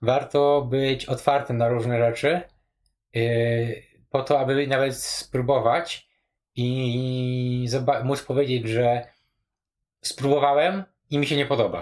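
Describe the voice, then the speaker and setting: A man's medium-pitched voice at a very slow pace, fairly even in intonation, with long, frequent pauses. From rural Poland. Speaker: programmer and home cook. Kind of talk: casual chat. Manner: halting, many fillers.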